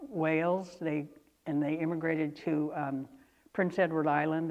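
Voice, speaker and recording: Speaking at a moderate pace, a woman with an American accent has a very deep, low pitch and fairly even intonation. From Northern California, Lake County. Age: 70s. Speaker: oral history interviewee. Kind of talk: oral history interview. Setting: auditorium. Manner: hesitant, many fillers.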